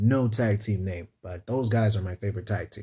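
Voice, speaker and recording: The voice has a dark, mellow tone, is somewhat breathy and shows ordinary pitch variation on a very clean recording with a silent background. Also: man. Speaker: wrestling YouTuber. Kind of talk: casual show review. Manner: animated; stumbling over words.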